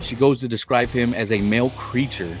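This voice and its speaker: With music in the background, a man talks at a moderate pace and medium pitch, his intonation fairly even. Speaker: comic book reviewer. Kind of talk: comic book plot summary.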